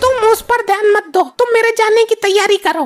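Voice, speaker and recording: A woman does a cartoonish character voice at an extremely high pitch, talking at a fairly quick pace with very even loudness. Music plays in the background, and the sound is dry and close with no echo. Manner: bossy, sharp.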